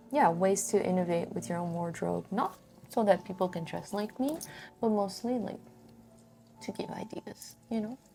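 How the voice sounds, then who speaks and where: A soft-spoken woman at a fairly slow pace, her medium-pitched voice relaxed in tone, with music in the background. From Brazil. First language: Portuguese. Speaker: crafting vlogger. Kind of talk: casual monologue while crafting. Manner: relaxed, meandering.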